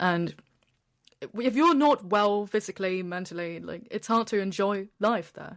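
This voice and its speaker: A woman with a British accent at a medium pitch, fairly slow, with ordinary pitch variation and big swings in loudness, in a very clean recording with a silent background. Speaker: travel content creator sharing depression story. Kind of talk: interview testimony.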